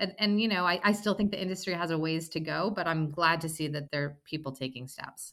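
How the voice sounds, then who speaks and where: With an American accent, a woman speaks in an unremarkable speaking voice at a fairly low pitch, with ordinary pitch variation and hardly any pauses. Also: fairly quick pace. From US Mid-Atlantic (Maryland). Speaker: company cofounder and CEO. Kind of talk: casual interview.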